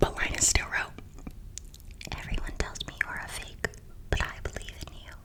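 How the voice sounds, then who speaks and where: A woman is whispering at a moderate pace. Noticeable background noise runs behind her. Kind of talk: children's book reading. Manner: whispered.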